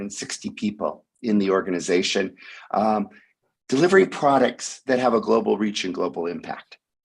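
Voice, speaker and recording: Vocal fry runs through a man's medium-pitched voice. He moves at a fairly quick pace with lively intonation. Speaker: tech company executive. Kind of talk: presentation. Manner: hesitant with fillers.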